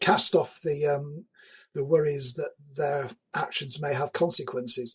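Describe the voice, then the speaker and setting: A man speaks with a Yorkshire accent at a fairly high pitch. His intonation stays fairly even. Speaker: game designer and professor. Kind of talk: podcast interview.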